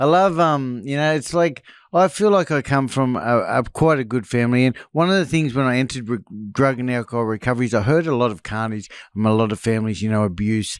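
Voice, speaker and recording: Lively in intonation, a man talks at a very fast pace in a medium pitch. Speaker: former drug addict and escaped prisoner. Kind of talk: interview testimony.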